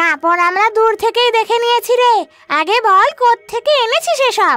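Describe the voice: A cartoonish character voice at a moderate pace, with faint music in the background. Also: female-sounding voice, extremely high pitch for a woman.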